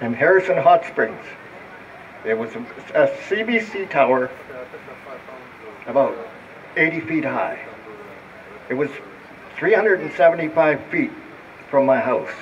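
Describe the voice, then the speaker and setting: With long, frequent pauses, a man speaks at a fairly slow pace and a high pitch. Noticeable background noise is present. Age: 80s+. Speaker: speaker with electro-hypersensitivity. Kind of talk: public talk. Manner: halting.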